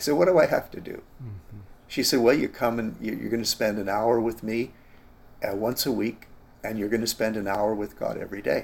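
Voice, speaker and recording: Using an ordinary speaking voice with a Canadian accent, a man talks fairly quickly at medium pitch, with ordinary pitch variation and big swings in loudness. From Canada. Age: 60s. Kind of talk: interview, personal testimony.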